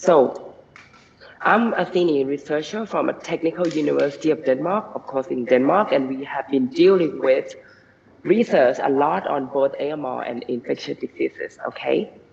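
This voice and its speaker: Moderate-paced speech from a man, noticeable background noise behind him. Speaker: senior researcher. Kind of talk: conference talk. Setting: video call. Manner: halting.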